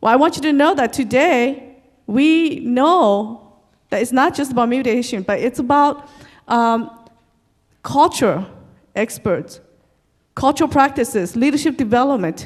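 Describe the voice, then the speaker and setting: A high-pitched woman with an American accent, lively in intonation, with long, frequent pauses. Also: fairly slow pace. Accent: Hmong American English. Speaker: community leader. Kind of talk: presentation.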